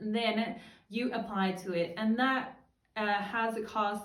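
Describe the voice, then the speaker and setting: A woman's medium-pitched voice at a fairly slow pace, with fairly even intonation and audible room echo. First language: Danish. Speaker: freelancer and vlogger. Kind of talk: casual tutorial vlog.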